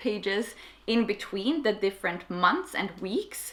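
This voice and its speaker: With a Swedish accent, a woman speaks at a moderate pace. Her pitch is medium. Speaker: YouTuber. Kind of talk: tutorial. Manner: casual.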